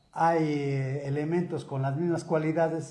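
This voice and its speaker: With audible room echo and noticeable noise behind him, the man talks at a fairly slow pace. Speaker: lawyer and author. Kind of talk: interview.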